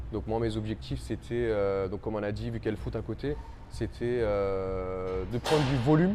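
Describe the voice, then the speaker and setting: The voice has a dark, mellow tone, moves at a moderate pace, and swings very widely in pitch. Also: man, fairly low pitch for a man. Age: 20s. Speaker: coaching client, factory team leader. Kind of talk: interview testimony. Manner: hesitant, many fillers.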